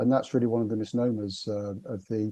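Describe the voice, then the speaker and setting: In a British accent, a man speaks fairly quickly at a medium pitch, his tone dark and mellow and his intonation fairly even. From northern England, Liverpool. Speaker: business consultant. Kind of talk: podcast interview. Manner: halting, many fillers and repetitions.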